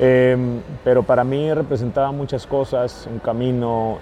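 A man talks fairly slowly, his intonation fairly level, with clearly audible background noise present. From US-Mexico border, San Luis, Arizona. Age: 30s. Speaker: football fitness coach. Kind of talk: casual interview. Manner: halting, many fillers and repeats.

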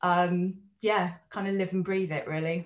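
A woman has an unremarkable speaking voice at medium pitch. She keeps a moderate pace. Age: 40s. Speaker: counsellor and psychotherapist. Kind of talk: interview conversation.

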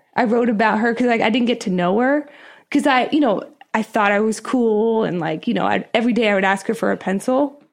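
A woman with an American accent has a plain, everyday voice and a fairly high pitch. She talks at a fairly quick pace with ordinary pitch variation and very even loudness against a quiet background. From Pennsylvania, US. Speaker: TV business reporter. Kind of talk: casual interview chat.

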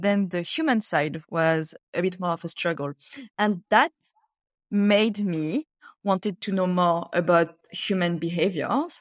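A woman talks with a French accent. The recording is dry and close, with no echo. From France. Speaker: author and corporate workshop facilitator. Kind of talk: interview.

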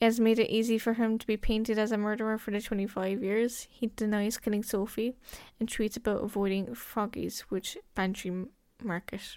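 In a Cork accent, someone speaks at a moderate pace on a very clean recording with a silent background. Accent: Cork Irish. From Ireland, County Cork. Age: 20s. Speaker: podcast host. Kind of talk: true crime narration. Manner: casual, hesitant with fillers.

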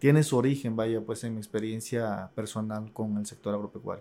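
A man with a plain, everyday voice speaks at a medium pitch with fairly even intonation, on a very clean recording with a silent background. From Tabasco, Mexico. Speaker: university administrator, agricultural economist. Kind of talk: interview.

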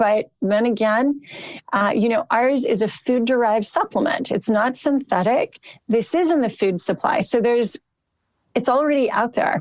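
This woman has a plain, everyday voice, pitched fairly high, with lively intonation and a moderate pace. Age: 50s. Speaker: supplement company founder. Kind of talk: interview.

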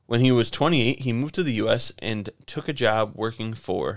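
Medium-pitched male speech with ordinary pitch variation on a very clean recording with a silent background. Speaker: podcast co-host. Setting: studio, video and audio podcast. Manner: fast talker, excitable.

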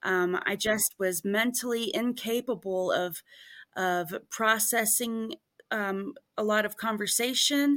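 Over a very clean recording with a silent background, a woman with a fairly high voice speaks very slowly with ordinary pitch variation. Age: 40s. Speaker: house cleaner and online business owner. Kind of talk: interview. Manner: halting, many fillers.

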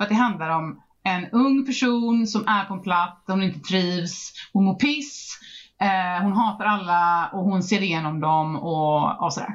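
Her medium-pitched voice moves at a fairly slow pace, and this woman shows ordinary pitch variation. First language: not English (Swedish podcast) (speaking Swedish). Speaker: book podcast host. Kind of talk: casual chat.

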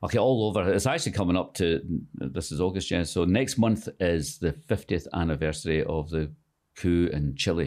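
In a very clean recording with a silent background, a man with a very deep, low pitch speaks at a moderate pace with lively intonation. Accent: Scottish. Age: 60s. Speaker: author and screenwriter. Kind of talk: casual interview chat. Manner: halting, many fillers.

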